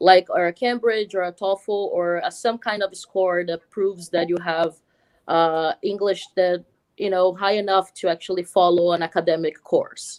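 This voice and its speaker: A woman at medium pitch in a Portuguese accent, moderately paced, with monotone, flat intonation. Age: 30s. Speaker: film editor. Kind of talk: interview. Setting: live stream at a school. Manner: halting, many fillers.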